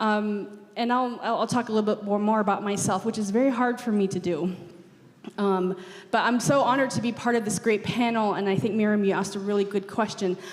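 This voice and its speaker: A woman speaks at a fairly quick pace in a fairly high pitch, with fairly even intonation. Noticeable background noise runs underneath. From Navajo Nation, Arizona. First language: Navajo. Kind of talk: panel discussion. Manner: halting, many repetitions and fillers.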